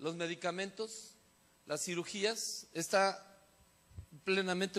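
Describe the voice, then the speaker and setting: A man's voice is raised and projected. His tone is bright and sharp. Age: 60s. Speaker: physician and product presenter. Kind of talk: sales presentation.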